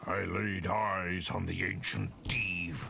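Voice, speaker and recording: A man speaks in a put-on character voice, raspy and booming, very deep and low, at a very slow pace over clear background noise. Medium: game stream. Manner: solemn, cryptic.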